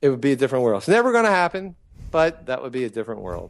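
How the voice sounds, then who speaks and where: A man at medium pitch over a quiet background. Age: 60s. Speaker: periodontist. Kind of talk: interview. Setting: podcast. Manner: halting.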